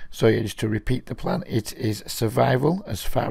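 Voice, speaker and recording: Vocal fry marks this man's medium-pitched voice. He talks at a moderate pace with ordinary pitch variation. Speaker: online poker player and video commentator. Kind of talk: live gameplay commentary. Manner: casual, hesitant with fillers.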